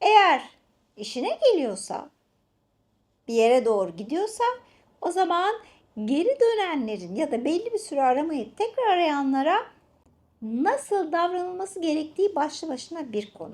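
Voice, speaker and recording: A woman with an extremely high pitch and very wide pitch swings speaks with long, frequent pauses. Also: moderate pace. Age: 50s. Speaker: relationship coach and channel host. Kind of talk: casual chat with advice tips. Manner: animated.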